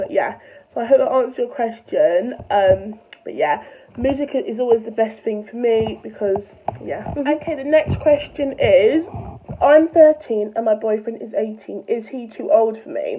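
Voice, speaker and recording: The speech moves at a moderate pace with lively intonation and big swings in loudness, over noticeable background noise. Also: woman, high pitch for a woman. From London. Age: young. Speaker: vlogger. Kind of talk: casual talk to camera.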